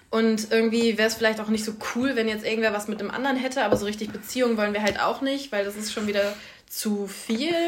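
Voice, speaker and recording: A woman speaks very fast at a fairly high pitch, in a monotone, flat intonation. The room echoes audibly, and background noise is noticeable. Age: 20s. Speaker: student podcast co-host. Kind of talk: casual chat.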